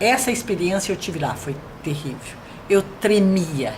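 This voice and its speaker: A woman speaks at a very slow pace with a fairly low pitch and ordinary pitch variation. Audible room echo and noticeable background noise fill the recording. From Brazil, São Paulo state interior (Americana). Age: 70s. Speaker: retired educator. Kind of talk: interview.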